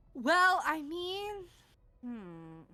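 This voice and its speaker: A high-pitched, put-on character voice does the talking. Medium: actual play. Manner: wry, teasing.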